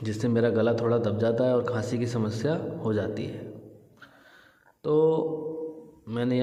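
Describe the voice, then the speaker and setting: Audible room echo surrounds a man who speaks at a very slow pace with a medium pitch. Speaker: yoga teacher. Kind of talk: tutorial.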